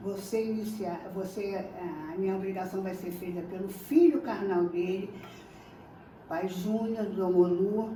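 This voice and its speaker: A woman talks at a fairly slow pace, leaving long, frequent pauses, with fairly even intonation. Noticeable background noise and audible room echo fill the recording. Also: medium pitch for a woman. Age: 70s. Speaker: Candomblé initiate. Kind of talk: testimony. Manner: halting.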